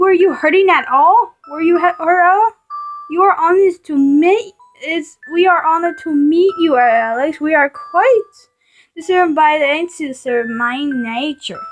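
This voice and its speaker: A woman puts on a character voice at an extremely high pitch. She speaks at a moderate pace, with faint music in the background. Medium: read story. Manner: polite, gentle.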